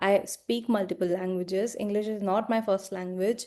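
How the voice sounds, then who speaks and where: Over a quiet background, a woman with an Indian accent speaks at a fairly slow pace. Her tone is dark and mellow. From India, small town. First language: Hindi. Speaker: life coach. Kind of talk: personal vlog monologue.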